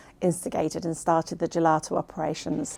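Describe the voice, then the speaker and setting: A woman is speaking. She talks with a West Country accent. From South Gloucestershire, England. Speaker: farmer's wife and bookkeeper. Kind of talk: documentary interview.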